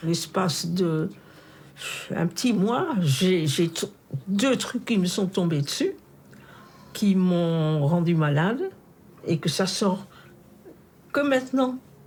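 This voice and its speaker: A woman's somewhat breathy, fairly low voice moves at a very slow pace. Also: long, frequent pauses. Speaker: Holocaust camp survivor. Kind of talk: interview answer.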